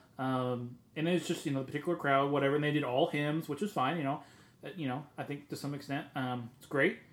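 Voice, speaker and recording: A man's plain, everyday voice, fairly high in pitch and fairly quick, with fairly even intonation and big swings in loudness. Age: 30s. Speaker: podcast co-host. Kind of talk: casual chat.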